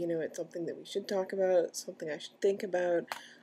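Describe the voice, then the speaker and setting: With an American accent, a woman talks at a medium pitch using fairly even intonation. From US Midwest, Kansas City area. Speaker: transgender vlogger. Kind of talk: personal video diary. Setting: at home, partner in next room. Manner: halting, many fillers.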